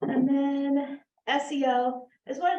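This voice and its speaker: A woman speaks with a dark, mellow tone. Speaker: digital marketing expert on a panel. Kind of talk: panel presentation.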